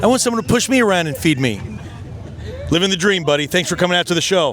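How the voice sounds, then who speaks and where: Over crowd noise in the background, a man speaks at a very fast pace in a high pitch, animated in tone with lively intonation. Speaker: car show host. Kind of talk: event walkaround interview.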